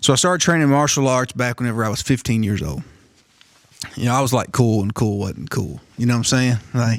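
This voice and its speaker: With a normal speaking voice, a man at a medium pitch uses lively intonation. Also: fairly quick pace. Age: 40s. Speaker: martial arts and self-defense instructor. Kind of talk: storytelling in a casual podcast chat.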